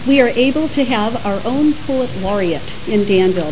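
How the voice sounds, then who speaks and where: Fairly high-pitched woman at a moderate pace, lively in intonation, against noticeable background noise. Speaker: town mayor. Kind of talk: ceremony introduction.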